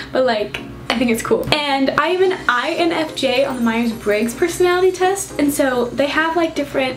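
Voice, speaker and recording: Over noticeable background noise and audible room echo, a woman speaks at a moderate pace in a high, bubbly voice with lively intonation. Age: young. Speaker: YouTuber. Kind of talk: casual Q&A vlog. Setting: on a couch in new room.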